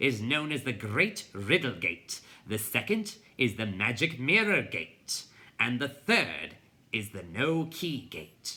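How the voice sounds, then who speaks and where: A man performs a put-on character voice at medium pitch. His pace is fairly slow. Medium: read story. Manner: pompous, lecturing.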